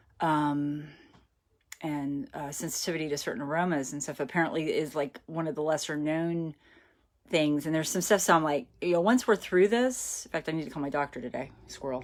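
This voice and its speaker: A woman talks at a fairly quick pace in a very deep, low voice with ordinary pitch variation. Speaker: romance author. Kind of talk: casual live-stream chat. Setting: live video from home. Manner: fast; rambling, conversational.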